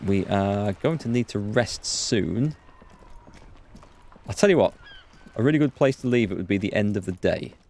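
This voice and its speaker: A man with a Yorkshire accent, fairly low in pitch, lively in intonation, with long, frequent pauses. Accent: soft Yorkshire. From North Yorkshire, northeast England. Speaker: gaming streamer. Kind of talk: live let's play commentary. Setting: live stream. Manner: casual, hesitant with fillers.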